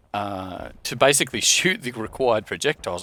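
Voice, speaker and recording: A bright, sharp tone moves at a moderate pace. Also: man, dry, close sound with no echo. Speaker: gaming youtuber. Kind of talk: gameplay commentary. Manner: casual, hesitant with fillers.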